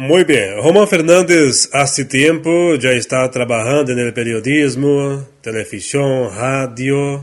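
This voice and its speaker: A man with a fairly high pitch speaks at a very slow pace, with hardly any pauses. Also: ordinary pitch variation. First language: Portuguese (speaking Spanish). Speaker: talk show host. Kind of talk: interview.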